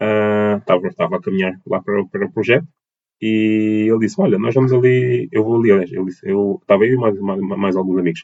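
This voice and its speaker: A man talks at a fairly quick pace with a fairly low pitch. His pitch variation is ordinary. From Portugal, Lisbon and Almada (south bank). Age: 20s. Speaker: dance teacher and choreographer. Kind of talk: interview. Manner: halting, many fillers and repetitions.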